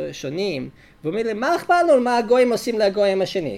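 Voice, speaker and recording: Speaking with a non-native accent, a man's voice sits at a high pitch. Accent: foreign accent in Hebrew. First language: English (speaking Hebrew). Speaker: rabbi and lecturer. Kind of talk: lecture.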